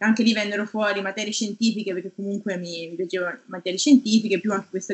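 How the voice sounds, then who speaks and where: This woman has a normal speaking voice. Her pitch is medium and her intonation fairly even. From Tuscany, Italy (Garfagnana, province of Lucca). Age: 30s. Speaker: research scientist. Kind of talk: interview.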